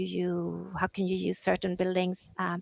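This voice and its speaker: A woman with a Swedish accent, at a fairly slow pace, in a dry, close sound with no echo. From Sweden. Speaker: EU policy officer. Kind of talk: interview.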